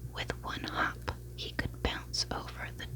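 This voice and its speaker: A woman whispering at a very slow pace amid noticeable background noise. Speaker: ASMR creator. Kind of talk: bedtime story reading. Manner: whispered.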